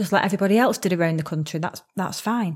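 An unremarkable speaking voice from a woman, medium in pitch with ordinary pitch variation. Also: very clean recording, silent background. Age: 30s. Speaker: podcast host and life coach. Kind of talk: casual monologue.

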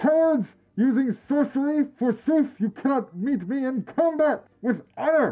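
At a moderate pace, the speaker puts on a high-pitched character voice. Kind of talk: archaic, theatrical. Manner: booming.

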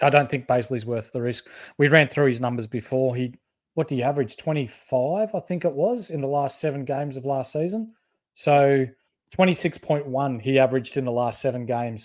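This man has an Australian accent. There is total silence behind him, and the recording is very clean. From country Victoria, Australia (Bendigo). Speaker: fantasy sports podcast co-host. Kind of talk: casual chat. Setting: live stream.

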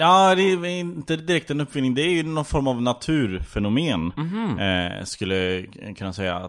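A man is speaking. His pitch swings very widely. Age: 20s. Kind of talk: improvised comedy interview.

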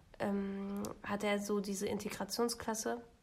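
There is noticeable background noise as a woman talks in a fairly high register. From Germany, Lower Saxony. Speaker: podcast co-host. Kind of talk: casual chat.

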